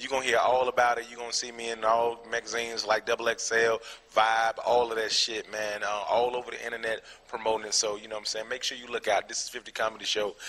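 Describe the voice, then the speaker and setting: A man with an American accent talks at a very fast pace in a flat monotone. His pitch is medium, and there is noticeable background noise. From Atlanta, Georgia (Decatur), US South. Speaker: comedian. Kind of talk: interview. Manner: casual, filler-heavy (um, you know what I'm saying).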